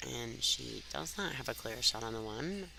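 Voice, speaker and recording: A woman takes a fairly slow pace, noticeable background noise surrounding her. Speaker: pool commentator. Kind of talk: live commentary.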